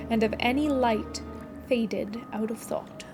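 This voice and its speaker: Music plays in the background while a woman talks at a fairly slow pace. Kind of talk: audiobook-style reading of a novel passage.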